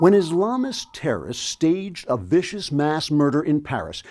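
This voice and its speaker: A man with an ordinary speaking voice talks at a moderate pace, his fairly high pitch moving with lively intonation over a very clean recording with a silent background. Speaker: political commentator. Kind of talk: satirical commentary to camera with horror-narrator style.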